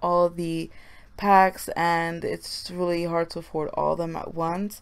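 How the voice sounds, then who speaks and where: A woman speaks quietly and fairly slowly on a very clean recording with a silent background. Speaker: gaming YouTuber. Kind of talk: voiceover commentary. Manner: quiet, low voice. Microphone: may sound far from the mic.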